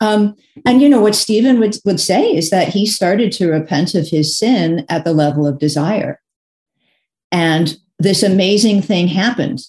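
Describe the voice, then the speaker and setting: A woman's medium-pitched voice, dark and mellow in tone, somewhat breathy, with lively intonation at a moderate pace. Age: 60s. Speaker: author and speaker. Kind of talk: casual chat. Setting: video call.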